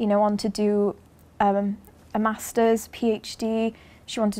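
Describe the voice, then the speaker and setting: A woman's voice in a monotone, flat intonation. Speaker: course tutor. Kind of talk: interview answer. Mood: warm, praising. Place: classroom.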